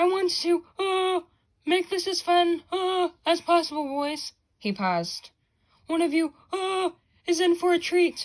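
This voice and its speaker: A woman's squeaky, put-on character voice, extremely high-pitched, at a fairly slow pace. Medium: read story. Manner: halting, many uh fillers.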